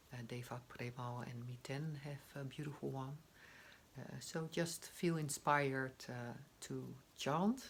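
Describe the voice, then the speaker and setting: This woman's voice is very deep and low and somewhat breathy, moving at a fairly slow pace with fairly even intonation and big swings in loudness. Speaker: meditation guide. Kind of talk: guided meditation intro. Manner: hesitant, many fillers.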